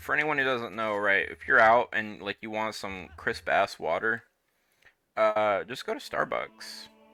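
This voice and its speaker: Over music in the background, a man speaks with big swings in loudness. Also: fairly slow pace. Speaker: video game streamer. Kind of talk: casual live gameplay commentary. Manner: casual, rambling.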